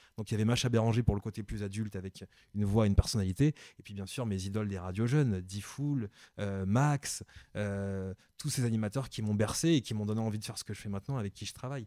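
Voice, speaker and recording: The recording is very clean with a silent background, and the sound is dry and close with no echo. A man with a fairly low pitch and a dark, mellow tone talks at a very fast pace with ordinary pitch variation. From Cameroon and Paris, France. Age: 30s. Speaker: radio host. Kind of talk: interview. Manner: hesitant, repeats words.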